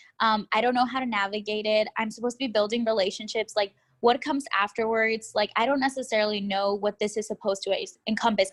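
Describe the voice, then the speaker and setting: A woman talks at a very fast pace in a fairly high voice with fairly even intonation. The sound is dry and close with no echo, on a very clean recording with a silent background. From Texas, Austin. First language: Spanish. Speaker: graduate student. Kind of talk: interview. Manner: casual, with many fillers.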